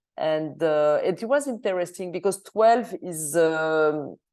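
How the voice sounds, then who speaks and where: In a French accent, a woman speaks at a very slow pace with fairly low pitch and ordinary pitch variation. Her tone is dark and mellow against a quiet background. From Switzerland. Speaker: film director. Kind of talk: Q&A interview. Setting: video call into cinema. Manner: halting, many hesitations.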